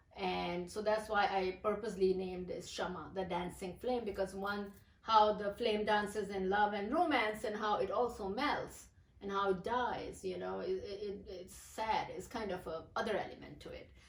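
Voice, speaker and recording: A woman with a Pakistani accent speaks with vocal fry and fairly even intonation in audible room echo. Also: medium pitch for a woman, moderate pace, big swings in loudness. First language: Urdu. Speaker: poet. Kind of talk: interview. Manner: halting.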